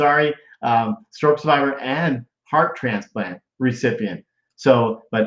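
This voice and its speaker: A man speaks at a medium pitch with an unremarkable speaking voice. His intonation is lively. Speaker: live show host. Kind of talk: casual live interview hosting.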